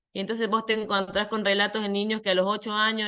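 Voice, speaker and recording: Against a quiet background, a woman with a bright, sharp tone and medium pitch speaks at a fairly quick pace. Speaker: psychologist, head of an identity rights program. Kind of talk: conference talk. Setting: online video conference. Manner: fast.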